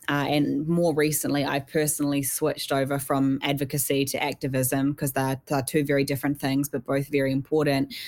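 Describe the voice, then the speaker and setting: In a New Zealand accent, a woman with a very deep, low pitch speaks at a fairly quick pace in a monotone, flat intonation and very even loudness, on a very clean recording with a silent background. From New Zealand, South Island. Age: young. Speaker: mental health activist. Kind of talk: interview.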